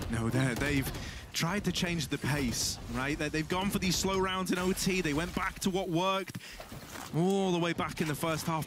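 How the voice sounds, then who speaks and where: Lively intonation carries a man's high-pitched voice in an animated, dramatic tone. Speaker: esports caster play-by-play commentator. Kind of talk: live esports commentary, play-by-play. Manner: animated, fast-paced, dramatic, builds hype around clutch moments.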